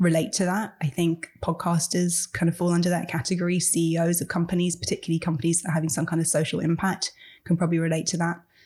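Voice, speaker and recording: A woman with a fairly low pitch talks very fast in a dark, mellow, somewhat breathy tone, her intonation fairly even and her loudness very even. The recording is very clean, with a silent background. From England. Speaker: author. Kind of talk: interview.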